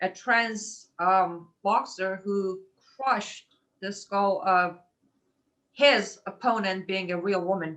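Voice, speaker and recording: Using a medium pitch and ordinary pitch variation, this woman talks at a very slow pace. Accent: non-native. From Middle East. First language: not English. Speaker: webinar host. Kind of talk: interview.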